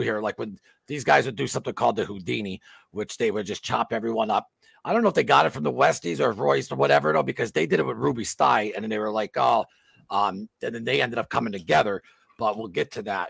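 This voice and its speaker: Against a quiet background with a dry sound and no echo, a man speaks at a very fast pace in a fairly low pitch, with vocal fry and very wide pitch swings. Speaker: podcast host. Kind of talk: casual chat. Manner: animated. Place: home room.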